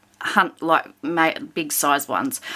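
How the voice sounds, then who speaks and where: A woman speaks with an Australian accent. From Victoria, Australia. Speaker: colouring hobby vlogger. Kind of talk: casual chat. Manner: hesitant, many fillers.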